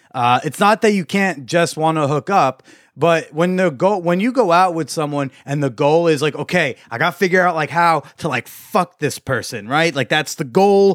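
A man with a normal speaking voice, fairly high-pitched, ordinary pitch variation, moderate pace, hardly any pauses, in a dry, close sound with no echo and a very clean recording over a silent background. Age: 20s. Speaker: podcast host on hookups and dating. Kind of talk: casual interview chat.

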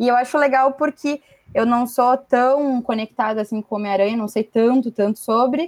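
A woman's high voice with fairly even intonation, in a dry, close sound with no echo. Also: moderate pace. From Rio Grande do Sul, Brazil. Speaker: comics fan and watercolor artist. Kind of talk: casual chat.

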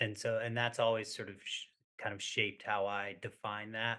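A man speaks at a moderate pace in a medium-pitched voice, his intonation flat and monotone. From Maine, US. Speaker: ultrarunner in recovery. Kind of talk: casual interview conversation.

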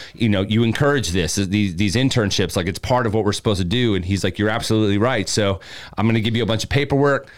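Speaking at a very fast pace, this man has a fairly low pitch. His words rush out quickly. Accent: American. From Maryland, US (between Baltimore and DC). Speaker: radio personality and announcer. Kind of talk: casual chat. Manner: animated storytelling.

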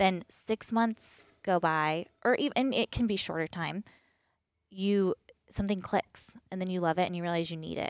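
A woman with an American accent speaks with ordinary pitch variation on a very clean recording with a silent background. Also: medium pitch for a woman, moderate pace, dry, close sound with no echo. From US East Coast. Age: 30s. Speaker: boutique owner. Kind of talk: casual interview.

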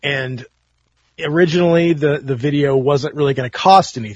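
At a moderate pace, a man talks in a somewhat breathy voice with a fairly high pitch. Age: 40s. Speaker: punk rock guitarist. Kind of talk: casual chat.

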